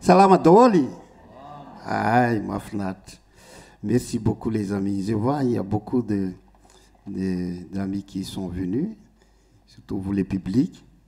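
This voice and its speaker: Very slowly and with long, frequent pauses, a man with a Malagasy accent speaks in a fairly low, dark, mellow voice with ordinary pitch variation. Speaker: musician. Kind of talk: stage talk to audience. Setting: stage with audience. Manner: halting.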